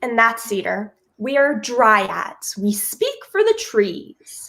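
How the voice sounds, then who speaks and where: A female-sounding, put-on character voice speaks at a very slow pace. The pitch is fairly high. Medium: stage play. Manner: earnest, naive.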